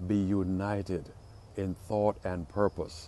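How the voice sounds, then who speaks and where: A man speaks very slowly in a very deep, low voice, with a dry sound with no echo and light background noise. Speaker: pastor. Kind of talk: short devotional sermon. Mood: warm, encouraging. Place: street. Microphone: earbuds.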